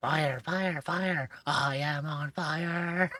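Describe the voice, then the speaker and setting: A man puts on a character voice, pitched fairly high, with fairly even intonation. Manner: shouting, panicked.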